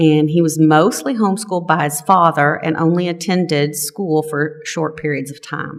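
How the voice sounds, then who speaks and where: With a strong Texas accent, a woman speaks in a very deep, low pitch at a moderate pace with fairly even intonation. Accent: thick Texas. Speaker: lay service leader, religious education volunteer. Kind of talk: lay-led church talk.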